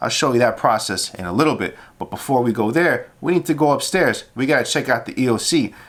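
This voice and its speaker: Speaking fairly quickly with hardly any pauses, a man uses a fairly high pitch, lively intonation and an energetic tone on a very clean recording with a silent background. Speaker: police officer vlogger. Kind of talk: vlog walkthrough. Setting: emergency operations center. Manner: casual, energetic; lowered voice.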